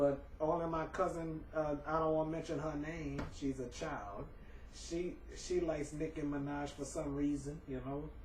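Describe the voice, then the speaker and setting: A fairly high-pitched male voice in monotone, flat intonation, with audible room echo and noticeable background noise. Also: moderate pace. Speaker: vlogger. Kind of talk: casual vlog commentary. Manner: halting, many repetitions.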